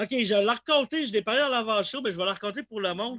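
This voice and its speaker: A man with a Quebec accent speaks in a raised, projected voice with a bright, sharp tone. The recording is very clean and dry, close, with no echo and a silent background. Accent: Québécois French. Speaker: podcast host. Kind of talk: casual chat.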